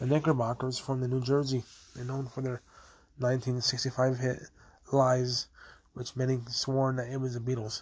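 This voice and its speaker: A man speaks at a moderate pace and a medium pitch, his intonation monotone and flat, with long, frequent pauses. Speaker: podcast host. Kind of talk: solo history podcast narration. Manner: halting, many fillers.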